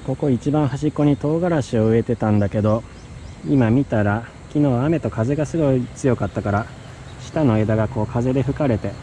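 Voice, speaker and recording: Light background noise runs beneath a man speaking at a moderate pace. The sound is dry, with no echo. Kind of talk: casual vlog chat. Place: garden. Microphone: phone near.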